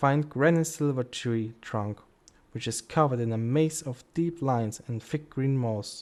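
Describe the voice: It is plain reading aloud. The pitch variation is ordinary.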